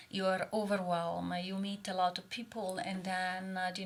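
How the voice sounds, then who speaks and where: Speaking with an Italian accent, a woman uses a medium pitch and monotone, flat intonation. Her pace is fairly slow. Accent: Italian accent, still noticeable. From Italy. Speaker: oncologist. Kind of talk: casual chat. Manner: hesitant, many fillers.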